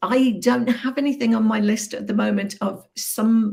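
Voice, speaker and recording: A woman with a Birmingham accent speaks at medium pitch and a moderate pace. Her ordinary pitch variation comes with vocal fry. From Birmingham, English Midlands. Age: 60s. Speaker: business coach. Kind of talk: interview.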